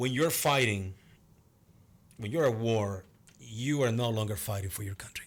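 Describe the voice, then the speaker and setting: This man speaks at a moderate pace in a Venezuelan accent, his pitch medium, with long, frequent pauses. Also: ordinary pitch variation. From Venezuela, Cumaná. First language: Spanish. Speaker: martial arts instructor and actor. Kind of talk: casual interview chat.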